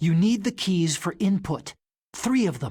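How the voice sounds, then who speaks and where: A woman puts on a growling character voice at a medium pitch. She keeps a moderate pace. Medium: video game. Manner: chatty, keeps saying "you see".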